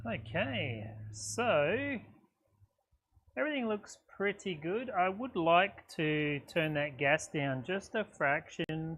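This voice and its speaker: A man's pitch swings very widely as he talks at a very slow pace. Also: fairly high pitch for a man. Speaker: welder livestreamer. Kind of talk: live tutorial. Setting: livestream workshop. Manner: casual, filler-heavy.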